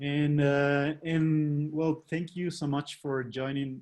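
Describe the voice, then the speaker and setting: Speaking very slowly with a non-native accent, a man has a fairly high pitch. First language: not English. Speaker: webinar host. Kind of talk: live interview. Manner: halting.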